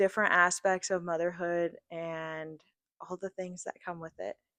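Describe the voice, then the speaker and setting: Recorded as a dry, close sound with no echo over a quiet background, a woman speaks at medium pitch in a bright, sharp tone. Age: 20s. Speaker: podcast co-host. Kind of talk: casual chat. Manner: loud, outgoing.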